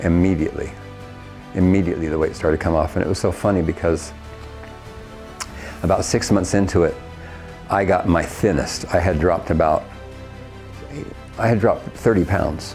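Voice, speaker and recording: Backed by music in the background, a man with an American accent and a very deep, low pitch speaks at a fairly quick pace with fairly even intonation, very even loudness, and long, frequent pauses. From Ohio, USA. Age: 70s. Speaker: singing teacher, former opera singer. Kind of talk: interview answer.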